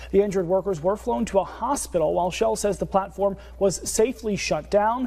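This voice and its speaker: In an American accent, the speaker talks at a very fast pace with a dark, mellow tone. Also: man. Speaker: news anchor. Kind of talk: TV news anchoring.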